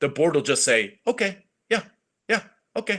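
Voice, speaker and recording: A man speaks with vocal fry. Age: adult. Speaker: school esports team advisor. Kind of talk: online meeting with students. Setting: video call. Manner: fast.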